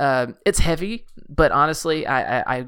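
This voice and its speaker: The recording is very clean, with a silent background. A man speaks with vocal fry and a bright, sharp tone. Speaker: podcast co-host. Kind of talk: casual chat.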